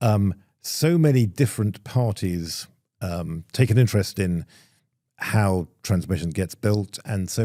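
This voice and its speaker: A man speaks in a dark, mellow tone. The recording is very clean, the background silent. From Europe. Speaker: podcast host. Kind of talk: panel interview. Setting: live event.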